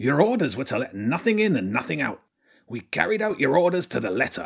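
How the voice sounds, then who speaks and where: In a very clean recording with a silent background, a man does a put-on character voice at a fairly high pitch. His pitch swings very widely, and his pace is fairly quick. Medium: read story. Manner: laconic, dry.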